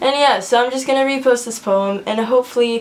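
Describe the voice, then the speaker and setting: Amid noticeable background noise, a woman speaks with fairly even intonation. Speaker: slam poet. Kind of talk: casual talk to camera.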